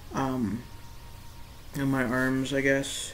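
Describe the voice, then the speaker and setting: A man speaks at a medium pitch. Room echo is audible, along with noticeable background noise. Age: 20s. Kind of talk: casual video diary. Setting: laptop webcam recording. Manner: hesitant, many fillers.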